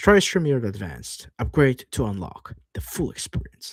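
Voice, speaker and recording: A man speaks at a fairly slow pace with vocal fry and very wide pitch swings. The recording is very clean, with a silent background. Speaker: streamer. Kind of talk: livestream screen walkthrough, reading aloud. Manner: casual, animated. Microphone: new dedicated microphone.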